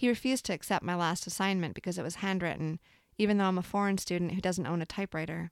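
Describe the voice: What we hear is plain reading aloud.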